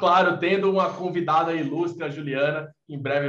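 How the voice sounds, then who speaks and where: A man speaks in a plain, everyday voice. His pace is moderate. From Recife, Brazil. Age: 20s. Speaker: podcast co-host, tech entrepreneur. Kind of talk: interview.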